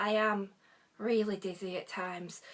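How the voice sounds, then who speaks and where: A woman's fairly high voice with a bright, sharp tone and a northwest English accent, at a fairly slow pace. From northwest England. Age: 40s. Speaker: book vlogger. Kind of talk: casual vlog chat. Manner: hesitant, frequent ums.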